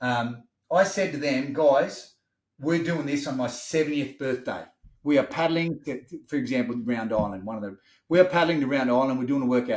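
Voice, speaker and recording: Here a man speaks in an Australian accent. His voice is fairly high and his pace moderate. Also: ordinary pitch variation. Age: 50s. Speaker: wellness business owner. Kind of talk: podcast interview. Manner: animated.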